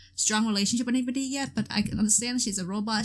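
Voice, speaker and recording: Over noticeable background noise, a woman with a fairly high pitch talks at a very fast pace with ordinary pitch variation. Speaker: gaming video creator. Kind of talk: let's play commentary. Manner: loud; hesitant, many fillers.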